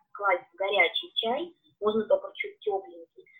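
A woman is speaking. Her pace is moderate. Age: 40s. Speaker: beekeeping products consultant. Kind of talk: live-stream interview.

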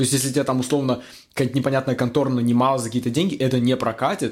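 Over a very clean recording with a silent background, a man at medium pitch talks very fast in a monotone, flat intonation. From Russia, Magnitogorsk, Chelyabinsk region. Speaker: former film crew worker turned IT specialist. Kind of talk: casual interview chat. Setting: studio podcast, drinking wine.

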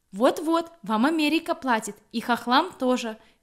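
In a very clean recording with a silent background, a woman speaks at a fairly slow pace with lively intonation and a Belarusian accent. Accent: Belarusian accent in Polish. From Belarus, Grodno. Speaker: humanitarian aid volunteer. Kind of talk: casual interview.

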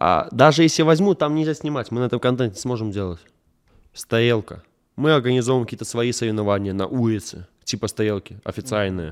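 Using a normal speaking voice, a man talks at a fairly quick pace with lively intonation and a medium pitch. The recording is very clean, with a silent background. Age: 20s. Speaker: pop MMA fighter and blogger. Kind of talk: casual interview.

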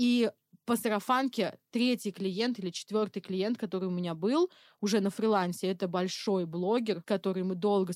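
A woman with a normal speaking voice talks at medium pitch with ordinary pitch variation, the sound dry and close with no echo. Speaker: freelance targeting specialist. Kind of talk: casual chat.

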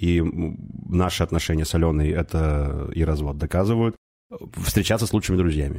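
A man's dark, mellow voice, very deep and low in pitch, with ordinary pitch variation, a moderate pace and long, frequent pauses. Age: 30s. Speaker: divorced father. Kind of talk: casual chat.

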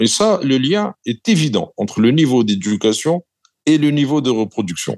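A man speaks at a medium pitch. His voice moves through very wide pitch swings. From southern Algeria, M'zab valley. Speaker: former central bank governor. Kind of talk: interview.

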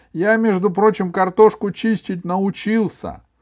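Over a quiet background, a man speaks in an animated, playful tone. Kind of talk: literary audiobook reading, narration with character dialogue. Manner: animated, expressive storyteller who plays dialogue lines with playful, lively intonation.

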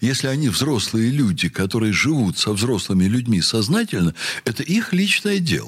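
A man at medium pitch and a moderate pace, with very wide pitch swings and very even loudness. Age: 60s. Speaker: university rector. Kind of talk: radio interview.

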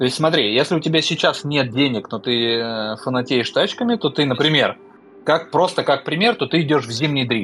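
Amid noticeable background noise, a man talks with lively intonation at a fairly high pitch. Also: moderate pace. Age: 30s. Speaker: podcast co-host. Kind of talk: casual chat.

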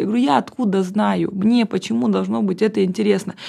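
Her intonation is lively as the woman speaks at a medium pitch. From Russian Far East, Vladivostok. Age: 30s. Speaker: agency partner and blogger. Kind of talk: casual interview.

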